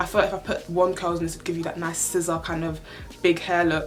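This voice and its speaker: A woman with a fairly low pitch speaks very fast in a flat monotone, with noticeable background noise and audible room echo. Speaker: beauty and lifestyle youtuber. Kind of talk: casual vlog try-on haul.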